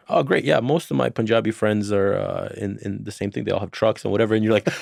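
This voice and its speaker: A man speaks at a fairly low pitch with vocal fry. The recording is very clean and dry, close with no echo, over a silent background. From Serbia. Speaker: podcast host. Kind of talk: scripted intro; casual interview chat.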